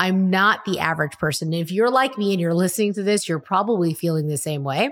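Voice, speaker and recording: A woman speaks at medium pitch in an animated tone. Her recording is very clean, with a silent background. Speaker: podcast host and entrepreneur. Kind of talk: pep talk. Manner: motivational, emphatic.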